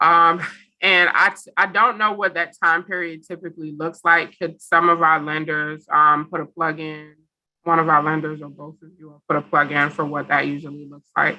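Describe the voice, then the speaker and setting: Speaking with fairly even intonation, a woman has a very deep, low pitch and a bright, sharp tone, with big swings in loudness. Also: moderate pace. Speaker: housing program director. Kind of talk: information session presentation.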